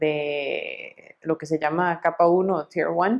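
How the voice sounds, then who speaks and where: Against a quiet background, a woman with a fairly low pitch speaks at a very slow pace. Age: 30s. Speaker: quality director. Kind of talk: interview testimony. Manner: hesitant with fillers. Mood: calm, friendly. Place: office. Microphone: lapel.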